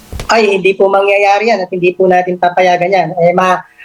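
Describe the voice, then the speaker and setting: A woman speaks over noticeable background noise. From Philippines, Pampanga. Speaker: government agency official. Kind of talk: radio interview.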